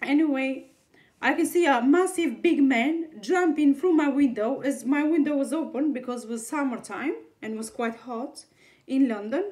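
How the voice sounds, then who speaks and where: A woman with a non-native accent speaks at a moderate pace. Her pitch is high. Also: ordinary pitch variation. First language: not English. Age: 30s. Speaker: video blogger. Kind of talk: personal testimony monologue. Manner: halting, many restarts and fillers.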